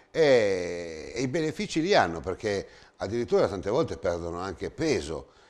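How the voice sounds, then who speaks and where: This man talks at a moderate pace with vocal fry. His pitch swings very widely. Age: 60s. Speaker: TV host. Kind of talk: TV interview. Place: studio. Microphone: lapel.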